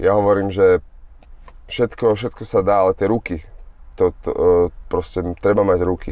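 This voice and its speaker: Long, frequent pauses break up this man's speech. Otherwise he keeps a moderate pace. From Slovakia. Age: 30s. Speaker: boxer. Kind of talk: casual chat.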